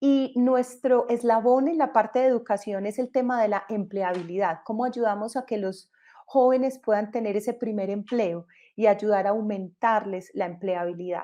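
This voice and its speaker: Speaking with a Colombian accent, a woman has a fairly high pitch and a dark, mellow tone. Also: ordinary pitch variation, moderate pace. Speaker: entrepreneur, company co-founder. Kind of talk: panel discussion in online event.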